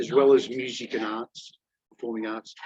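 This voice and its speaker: Talking at a moderate pace with an Australian accent, a man keeps his intonation fairly even, and the sound is dry and close with no echo. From Australia, Melbourne. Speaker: job-seeking teacher. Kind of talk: job fair Q&A, self-introduction. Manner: halting, many fillers.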